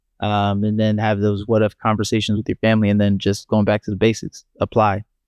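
A man with an American accent talks at a fairly quick pace in a fairly low pitch, using a monotone, flat intonation. The sound is dry and close with no echo, against a quiet background. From Maryland, US. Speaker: startup founder. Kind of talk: casual interview.

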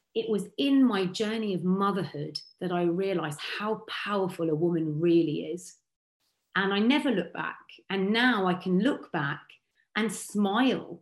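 Speaking fairly slowly, a woman uses a medium pitch and ordinary pitch variation in a southern English accent. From Berkshire, southern England. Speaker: radio and TV broadcaster. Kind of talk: interview.

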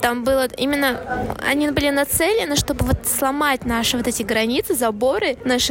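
Over music in the background, a woman speaks in a high pitch with ordinary pitch variation. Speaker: podcast co-host. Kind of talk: casual chat. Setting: cafe.

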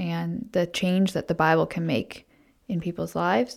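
A woman talks at a fairly slow pace in a fairly low pitch, using a plain, everyday voice with an American accent. The recording is very clean, with a silent background. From Pennsylvania, then Haiti and Ontario (mixed). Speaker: missionary childcare teacher. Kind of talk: interview.

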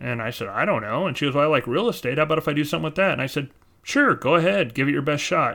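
A man's fairly high, bright and sharp voice with an American accent, at a very fast pace with ordinary pitch variation. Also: very clean recording, silent background. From California. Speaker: podcast co-host, real estate agent and attorney. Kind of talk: casual chat.

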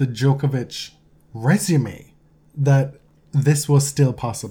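This man talks at a very slow pace in a fairly high pitch, his tone dark and mellow, somewhat breathy, with fairly even intonation. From Jamaica. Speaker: tennis podcast co-host. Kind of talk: casual chat.

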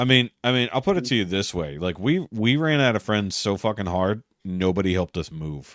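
On a very clean recording with a silent background and a dry, close sound with no echo, a man with an ordinary speaking voice talks at a fairly quick pace with lively intonation and hardly any pauses. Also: fairly low pitch for a man. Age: 40s. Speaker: podcast host. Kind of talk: casual chat.

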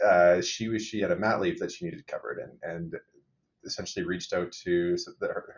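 A man talks at a fairly quick pace with a low pitch. His intonation stays fairly even, with a slightly husky edge.

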